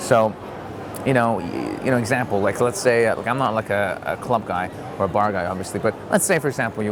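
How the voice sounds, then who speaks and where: A man's voice carries audible room echo. Noticeable background noise is present as well. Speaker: dating advice vlogger. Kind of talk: casual vlog monologue. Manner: fast; animated.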